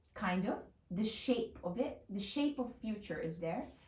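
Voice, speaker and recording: There is audible room echo around a woman whose voice has an intense tone and a dark, mellow tone. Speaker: lifestyle vlogger. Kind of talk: casual vlog monologue. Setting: home, on bed. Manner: intense, loud; animated, fast.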